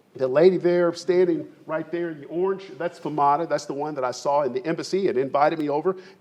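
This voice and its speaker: The voice is animated with ordinary pitch variation, and background noise is noticeable. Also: man. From Kentucky, Lexington area. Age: 60s. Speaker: farmer and business founder. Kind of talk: presentation to an audience.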